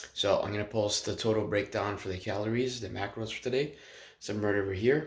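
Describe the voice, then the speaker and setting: Very fast and somewhat breathy, a man's voice runs along at a fairly low pitch. The intonation stays fairly even. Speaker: fitness vlogger. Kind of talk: casual vlog.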